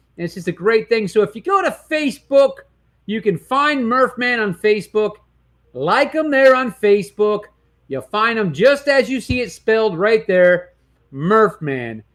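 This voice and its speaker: A loud man with an American accent talks at a moderate pace in a high pitch, his tone animated and intonation lively. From Detroit area, Michigan. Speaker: sports talk show host. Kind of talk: sports talk show. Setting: studio.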